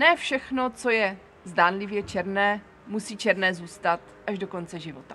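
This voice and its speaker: Music plays in the background. The speaker's pitch varies in an ordinary way. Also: woman. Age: 40s. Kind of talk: personal monologue. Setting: seated on camera.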